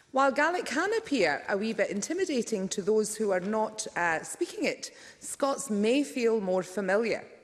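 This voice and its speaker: Over noticeable background noise, a woman at a fairly high pitch speaks at a moderate pace with very wide pitch swings, very even loudness, and hardly any pauses. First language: Punjabi. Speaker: politician. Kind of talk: parliamentary speech. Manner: formal.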